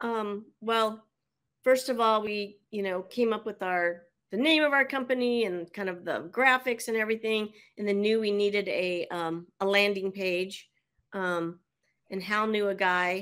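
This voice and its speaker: A woman talks in a normal speaking voice at medium pitch, with ordinary pitch variation. The recording is very clean, with a silent background. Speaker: quilting charity organizer. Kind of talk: casual interview storytelling.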